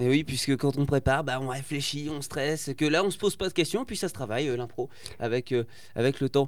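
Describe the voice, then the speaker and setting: Fairly quick and fairly high-pitched, a man talks with ordinary pitch variation. He has an unremarkable speaking voice. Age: 20s. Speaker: radio host. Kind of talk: casual chat. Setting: studio.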